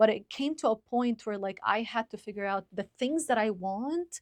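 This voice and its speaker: At a fairly slow pace, a woman with a fairly high pitch speaks in a very clean recording, silent behind her, with a dry, close sound and no echo. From Lebanon. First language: Arabic. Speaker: podcaster. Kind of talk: casual chat. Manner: articulate.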